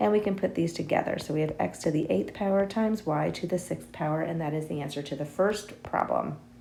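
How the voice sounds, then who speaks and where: A raspy, put-on character voice runs at a fairly quick pace with lively intonation over clear background noise. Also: woman, very deep, low pitch for a woman. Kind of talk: teaching, explaining math. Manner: talking very fast.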